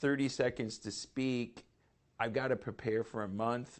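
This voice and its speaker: A man at a medium pitch with an American accent. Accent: slight Michigan twang, comes out occasionally. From Michigan, US Midwest. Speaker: business coach and show host. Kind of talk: interview.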